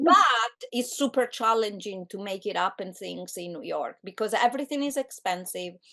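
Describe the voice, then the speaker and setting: A woman with an Italian accent, fairly high-pitched, with lively intonation, a moderate pace, and hardly any pauses. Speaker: film director. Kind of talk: interview. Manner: hesitant, many fillers.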